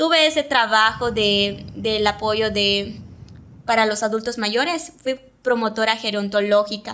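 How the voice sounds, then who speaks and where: With a Yucatán accent, a woman speaks at a fairly slow pace in a fairly high pitch with ordinary pitch variation. Her tone is bright and sharp. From Yucatán, Mexico (Mayapán). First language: Yucatec Maya (speaking Spanish). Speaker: TV presenter and communicator. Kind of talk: interview conversation.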